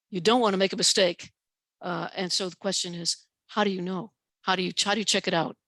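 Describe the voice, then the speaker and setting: A woman's medium-pitched voice at a very fast pace, monotone and flat, dry and close with no echo. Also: quiet background. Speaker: professor and author giving a talk. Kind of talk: lecture with Q&A. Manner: hesitant with fillers.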